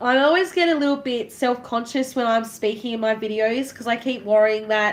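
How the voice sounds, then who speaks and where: Here is a woman with an Australian accent and a fairly high pitch. She speaks at a moderate pace with fairly even intonation. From Australia, Tasmania. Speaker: crafting vlogger. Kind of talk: live stream chat while crafting. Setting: live stream. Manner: casual, chatty.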